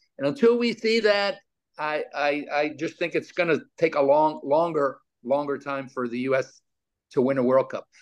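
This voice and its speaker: In an ordinary speaking voice, a man talks at a moderate pace with an American accent. His pitch is fairly high, and his intonation is lively. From New York. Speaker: former pro soccer player and coach. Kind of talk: interview.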